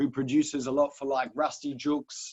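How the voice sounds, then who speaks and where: A man with a fairly high pitch talks at a fairly quick pace. The sound is dry and close, with no echo. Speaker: rapper. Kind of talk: interview. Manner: casual.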